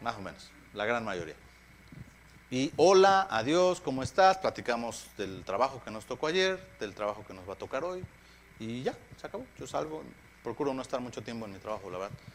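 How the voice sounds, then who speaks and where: A man's medium-pitched voice at a fairly quick pace, with very wide pitch swings and long, frequent pauses. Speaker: pastor. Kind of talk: sermon. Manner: halting.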